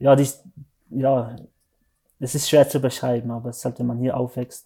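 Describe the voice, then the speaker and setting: A man speaks at a medium pitch in a dark, mellow tone. His intonation stays monotone and flat. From Switzerland, Valais (Zermatt). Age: 30s. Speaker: mountain guide and speed mountaineer. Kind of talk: interview. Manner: halting, many fillers.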